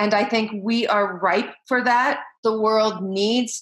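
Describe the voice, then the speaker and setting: A woman speaks with a Midwestern American accent at a fairly slow pace. Her fairly high voice has monotone, flat intonation over a quiet background. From US Midwest, Iowa. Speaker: education leader and keynote speaker; keynote speaker. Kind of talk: interview. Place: home room. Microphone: webcam.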